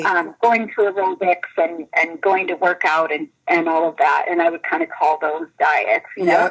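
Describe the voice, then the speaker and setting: A woman speaks at a moderate pace. She hardly pauses at all. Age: 40s. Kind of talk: interview answer. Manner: hesitant, casual.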